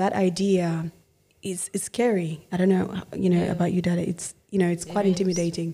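A woman speaks at a fairly quick pace with a fairly low pitch and a dark, mellow tone. Her intonation is monotone and flat, and she sounds somewhat breathy. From Congo, raised in Australia. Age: 20s. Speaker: podcast host. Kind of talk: family conversation.

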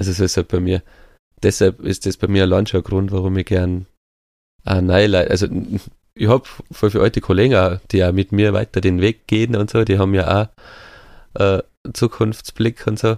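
Male voice at a moderate pace with long, frequent pauses, fairly even intonation and very even loudness, in a dry, close sound with no echo and a very clean recording over a silent background. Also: fairly low pitch for a man. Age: 30s. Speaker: podcast co-host. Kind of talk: casual chat.

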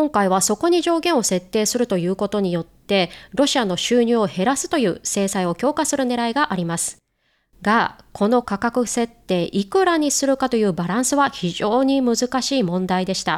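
A woman's fairly high pitch with very wide swings at a moderate pace, on a very clean recording with a silent background. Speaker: news podcast host. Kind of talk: news explainer.

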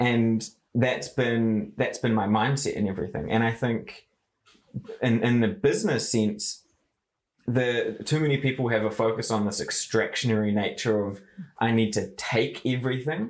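A man with a New Zealand accent talks at a moderate pace. His medium pitch follows a fairly even intonation. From New Zealand, Far North. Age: 20s. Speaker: marketing agency founder. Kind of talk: interview.

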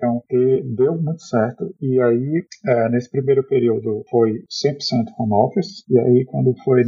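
A man's pitch shows ordinary variation. He talks at a fairly slow pace. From Brazil, Fortaleza. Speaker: software developer. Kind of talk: casual interview. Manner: halting, many fillers.

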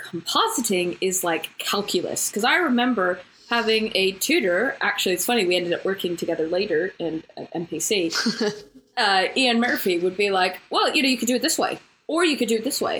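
A woman with a plain, everyday voice talks at a moderate pace in a fairly high pitch, her intonation lively and her loudness very even. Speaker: podcast co-host. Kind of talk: informal, occasional swearing. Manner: casual, chatty.

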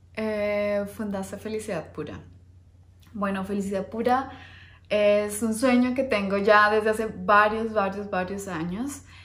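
A woman speaks at a very slow pace with medium pitch and fairly even intonation. Audible room echo is present. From Colombia, Bogotá. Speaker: finance educator and investment manager. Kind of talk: personal introduction video to camera. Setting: recorded on camera, husband behind the camera.

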